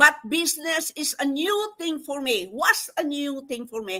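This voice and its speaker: Raising and projecting her voice, a woman speaks in a bright, sharp, animated tone with lively intonation. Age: 70s. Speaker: nurse educator and online business promoter. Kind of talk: motivational testimony.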